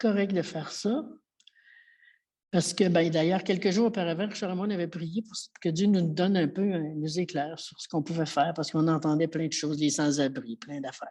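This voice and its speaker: A woman with a fairly low pitch and a dark, mellow tone speaks at a moderate pace, her intonation lively and her loudness swinging widely. Long, frequent pauses mark her delivery against a quiet background. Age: 70s. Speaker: church volunteer. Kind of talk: testimony. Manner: halting.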